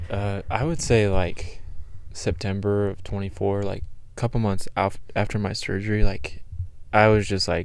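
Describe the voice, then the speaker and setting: At a moderate pace, a man talks in an ordinary speaking voice with a fairly low pitch. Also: fairly even intonation. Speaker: podcast guest, college student. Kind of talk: casual chat.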